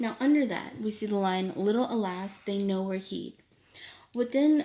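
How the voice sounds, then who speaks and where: A woman's dark, mellow tone at a medium pitch. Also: ordinary pitch variation, moderate pace. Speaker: student. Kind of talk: poem analysis presentation. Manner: hesitant, with stutters and fillers.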